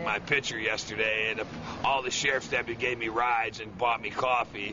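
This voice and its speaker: Noticeable background noise runs under the speech. A man talks at a medium pitch. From Chicago, USA. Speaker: Vietnam veteran. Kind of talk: street interview answer. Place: street. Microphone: phone near.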